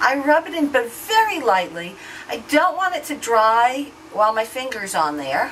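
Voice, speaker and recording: High-pitched, moderately paced speech from a woman with very wide pitch swings, amid noticeable background noise. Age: 60s. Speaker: beauty vlogger. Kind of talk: product demo tutorial. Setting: hotel room. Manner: casual, hesitant with fillers.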